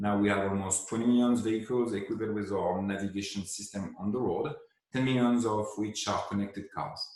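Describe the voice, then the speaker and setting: A man with a non-native accent speaks fairly quickly at a fairly low pitch. His intonation stays fairly even, and room echo is audible. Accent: foreign accent in English. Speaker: head of design at a tech company. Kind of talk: pre-recorded presentation. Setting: remote video with screen share.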